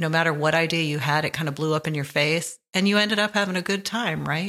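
In a very clean recording with a silent background, a woman speaks at a fairly low pitch in a relaxed tone that is also bright and sharp. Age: 60s. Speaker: podcast host. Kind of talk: reflective monologue. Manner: relaxed, laughs often.

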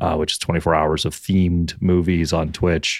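Very deep, low pitch from a man with a Canadian accent and fairly even intonation, on a very clean recording with a silent background. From Canada. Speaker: streamer and podcast guest. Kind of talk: casual banter podcast chat.

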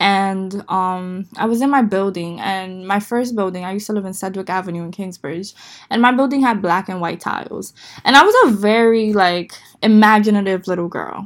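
Speaking at a moderate pace, a woman with an American accent has a medium pitch. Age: 20s. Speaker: podcast host. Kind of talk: solo podcast monologue. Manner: conversational, animated.

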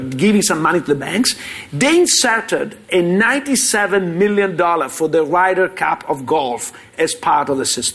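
Lively intonation at a fairly slow pace with an Italian accent, over noticeable background noise. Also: man. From Italy. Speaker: finance professor. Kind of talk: panel discussion. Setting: stage with live audience.

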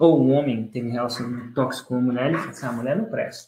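A man talks at a very fast pace, somewhat breathy. His voice sits at a medium pitch with a dark, mellow tone. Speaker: podcast host and launch course teacher. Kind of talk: casual interview.

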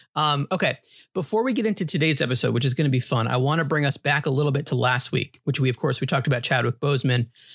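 Recorded very cleanly with a silent background and a dry, close sound with no echo, a man with an American accent speaks at a very fast pace with very even loudness. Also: fairly high pitch for a man, ordinary pitch variation. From New York (grew up partly in New Hampshire). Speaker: podcast host. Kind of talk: casual chat.

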